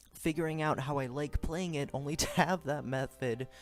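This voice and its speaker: Music can be heard behind the voice. A man talks at a moderate pace. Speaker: gaming commentator. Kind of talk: scripted gameplay voice-over. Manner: stuttering at times.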